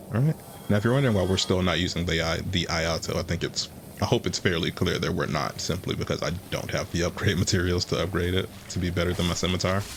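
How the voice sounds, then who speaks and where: Over noticeable background noise, a man rattles along at a very fast pace in a very deep, low pitch with ordinary pitch variation. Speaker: gaming video creator. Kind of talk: gameplay commentary. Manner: low energy.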